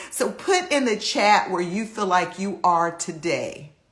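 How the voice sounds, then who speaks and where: In a room with audible echo, a woman speaks with a bright, sharp tone at medium pitch and a fairly slow pace. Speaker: life coach hosting a live stream. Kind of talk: motivational Instagram live talk. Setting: Instagram live video. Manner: animated.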